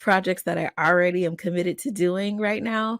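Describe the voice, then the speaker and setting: Recorded very cleanly with a silent background and a dry, close sound with no echo, the speaker has an American accent and a moderate pace. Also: woman. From Atlanta, Georgia, USA. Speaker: professional voice actor, narrator and voice acting coach. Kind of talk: podcast host talking to camera. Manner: upbeat, enthusiastic, friendly.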